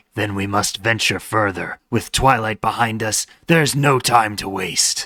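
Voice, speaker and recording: A man speaks at a moderate pace in a raspy, put-on character voice with a medium pitch. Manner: dramatic, urgent.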